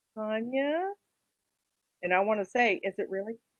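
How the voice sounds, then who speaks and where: At a fairly slow pace, a woman with an American accent speaks at a medium pitch. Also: dry, close sound with no echo. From US South, South Texas. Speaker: college speech instructor. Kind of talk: lecture.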